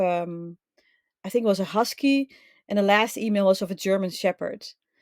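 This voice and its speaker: A woman with a Dutch accent at medium pitch and ordinary pitch variation, dry and close with no echo, in a very clean recording with a silent background. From Netherlands. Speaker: link building specialist. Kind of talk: podcast interview.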